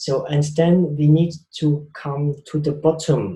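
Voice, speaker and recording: A man speaks with a Swiss accent and a fairly high pitch. His tone is dark and mellow, and somewhat breathy. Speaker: spiritual speaker. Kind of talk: talk.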